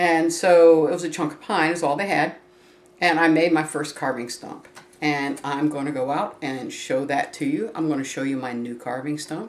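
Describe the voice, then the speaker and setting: There is audible room echo around a woman's voice. Her pitch is very deep and low, with ordinary variation. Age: 60s. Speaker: craft tutorial vlogger. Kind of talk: tutorial. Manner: casual, meandering with fillers.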